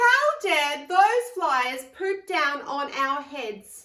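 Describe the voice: A woman's put-on character voice, high-pitched and bright with a sharp edge, very slow, with big swings in pitch and audible room echo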